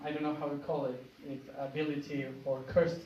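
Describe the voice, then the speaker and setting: An Argentine accent amid audible room echo. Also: man. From Argentina. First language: Spanish. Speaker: spiritual speaker. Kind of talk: public talk. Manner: halting.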